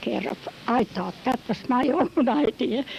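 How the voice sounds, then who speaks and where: There's noticeable background noise on this clip. A woman talks, her pitch varying in an ordinary way. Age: 80s+. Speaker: elderly immigrant interviewee. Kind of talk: oral history interview.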